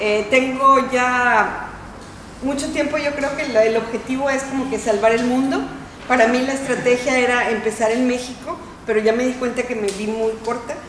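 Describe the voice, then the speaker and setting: A woman with a Mexican accent and a high pitch at a moderate pace, fairly even in intonation, with audible room echo and light background noise. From Mexico. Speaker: professor. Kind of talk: self-introduction. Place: meeting room. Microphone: camera far.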